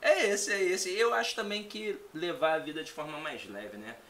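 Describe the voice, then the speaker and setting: A man's voice with audible room echo. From Rio de Janeiro, Brazil. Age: 30s. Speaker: teacher. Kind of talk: casual chat.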